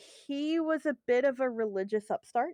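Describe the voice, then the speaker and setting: A woman talks at a fairly slow pace. The sound is dry and close with no echo, over a quiet background. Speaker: video game lore expert. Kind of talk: casual chat. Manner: frequent fillers and hesitations.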